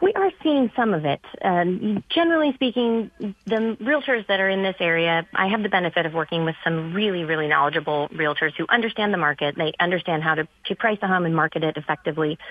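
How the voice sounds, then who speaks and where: A woman's normal speaking voice with an American accent, fairly low in pitch, at a fairly quick pace with lively intonation and hardly any pauses. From California. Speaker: real estate agent. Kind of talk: casual chat. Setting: phone call.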